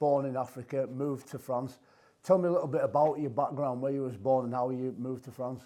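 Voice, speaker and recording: In a Yorkshire accent, a man speaks at a fairly quick pace with medium pitch. His tone is dark and mellow, and the background is quiet. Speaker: podcast host, former rugby player. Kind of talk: casual interview.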